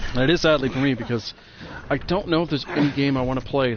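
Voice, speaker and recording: A quiet man at a fairly quick pace, with ordinary pitch variation. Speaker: video game streamer. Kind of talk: casual commentary while playing a game. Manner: tends to get quieter.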